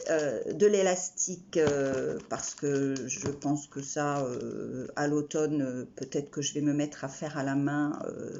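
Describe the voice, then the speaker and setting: A woman's very deep, low pitch at a very slow pace, with ordinary pitch variation and hardly any pauses. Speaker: craft vlogger. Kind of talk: casual haul video. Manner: halting, stammering.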